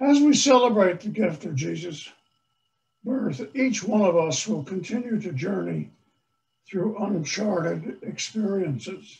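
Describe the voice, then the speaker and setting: With an American accent and lively intonation, a man speaks fairly slowly at a high pitch. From US Northeast, Long Island, New York. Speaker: priest. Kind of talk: sermon. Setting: church. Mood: warm, earnest. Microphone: video call.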